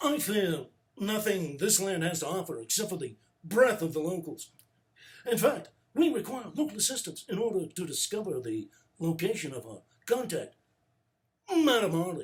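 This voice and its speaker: A man puts on a character voice with high pitch, very wide pitch swings and big swings in loudness. His pace is moderate, broken by long, frequent pauses. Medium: read story. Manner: haughty, commanding.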